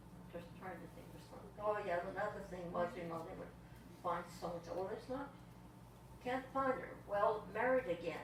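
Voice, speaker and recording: A woman talks at a moderate pace and medium pitch with ordinary pitch variation. Audible room echo and noticeable background noise surround her. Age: 90s. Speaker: guest speaker, longtime local resident. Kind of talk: casual talk to a members meeting.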